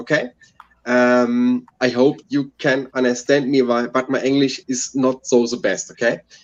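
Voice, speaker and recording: Here a man speaks with a German accent. His pitch is medium. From Germany, Hessen (Frankfurt area). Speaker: beer reviewer, panelist. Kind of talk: casual live-stream chat. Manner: halting, many ums.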